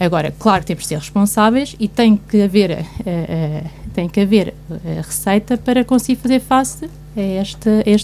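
A woman uses an ordinary speaking voice at medium pitch and a moderate pace. Her intonation is lively. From Guarda, Portugal. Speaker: commentator. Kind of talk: radio panel discussion. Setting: radio studio.

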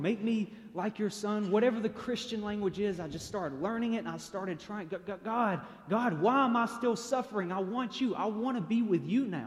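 A man with a Tennessee accent speaks at a moderate pace with ordinary pitch variation. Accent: Southern US (Tennessee). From Chattanooga, Tennessee, US South. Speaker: speaker sharing personal testimony. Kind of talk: testimony.

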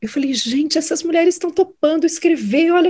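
At a fairly quick pace, a woman talks in an extremely high pitch. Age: 50s. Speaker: judge and social media creator. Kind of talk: interview conversation.

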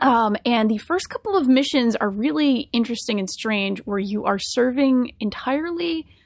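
A woman's high-pitched voice, lively intonation and a fairly slow pace, in a very clean recording with a silent background. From Rhode Island. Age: 30s. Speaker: podcast host. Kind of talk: casual chat.

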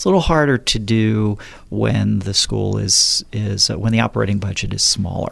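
A man with an American accent at a moderate pace over noticeable background noise. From southern New Jersey. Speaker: college administrator. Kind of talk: radio interview. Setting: studio. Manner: halting, many fillers.

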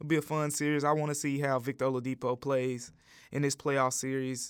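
Over a silent background on a very clean recording, a man talks at a fairly quick pace. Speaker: sports podcast host. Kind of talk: solo sports commentary podcast. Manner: animated.

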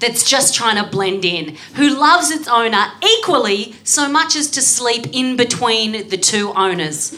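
A woman with an Australian accent speaks at a fairly slow pace in a high pitch. Her pitch swings very widely over noticeable background noise. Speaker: comedian guest. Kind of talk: comedy panel show. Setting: recorded before a live audience.

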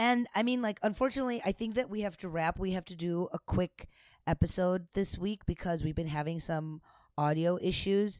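On a very clean recording with a silent background and a dry, close sound with no echo, a woman with an ordinary speaking voice and an American accent talks at a moderate pace and medium pitch with ordinary pitch variation. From United States. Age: 30s. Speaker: podcast co-host, stand-up comedian. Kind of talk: casual chat.

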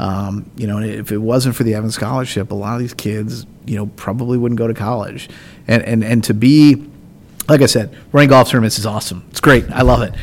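An unremarkable speaking voice from a man with an American accent, medium-pitched, fairly quick, with fairly even intonation. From Indiana, US Midwest. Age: 30s. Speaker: golf tournament director. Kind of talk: casual interview.

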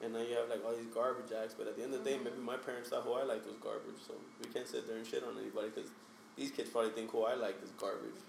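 A man rattles along at a very fast pace while noticeable background noise fills the recording. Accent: American. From Hialeah, Miami area, Florida. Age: 30s. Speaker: photographer. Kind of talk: casual chat. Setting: studio.

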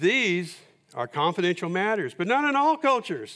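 In a very clean recording with a silent background, a man with an American accent speaks at a moderate pace in a bright, sharp tone. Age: 70s. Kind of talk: sermon. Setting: church.

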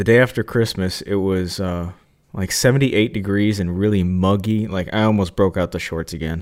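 A man with a fairly low pitch, an ordinary speaking voice, fairly even intonation and a moderate pace. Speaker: podcast co-host, woodworker. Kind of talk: casual chat.

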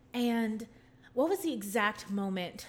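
A woman has an unremarkable speaking voice with a fairly high pitch and lively intonation, going at a fairly slow pace. The recording is very clean, with a silent background. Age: 20s. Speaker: musical theater student and podcast host. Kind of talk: casual interview.

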